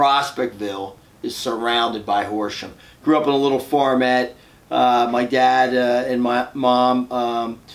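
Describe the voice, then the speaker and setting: A man speaks with a Philadelphia accent at a medium pitch. His delivery is fairly slow and flat, in a monotone. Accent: Philadelphia-area American English. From US Northeast, suburban Philadelphia, Pennsylvania. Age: 60s. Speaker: fitness club owner and entrepreneur. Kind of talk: podcast interview. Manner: conversational, with frequent fillers.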